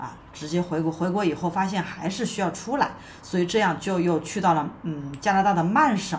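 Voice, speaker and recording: Moderate pace and ordinary pitch variation from a woman, with light background noise. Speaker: immigration consultant host. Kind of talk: commentary. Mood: calm, serious.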